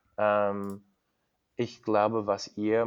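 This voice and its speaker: The speaker, with an English accent, goes at a very slow pace. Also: man. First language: English (speaking German). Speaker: cyclist. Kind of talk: interview. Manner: halting, many fillers.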